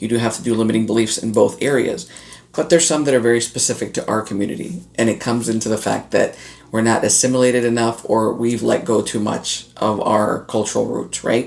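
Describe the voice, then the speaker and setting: A man's medium-pitched voice with ordinary pitch variation, at a fairly quick pace. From North Florida, Latin heritage. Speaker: online business coach. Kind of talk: casual talk to camera.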